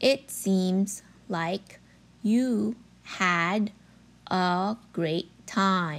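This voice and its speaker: Long, frequent pauses break up a woman's very slow speech. Her pitch is medium, with ordinary pitch variation. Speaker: English pattern narrator. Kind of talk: language drill reading. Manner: slow, clearly enunciated.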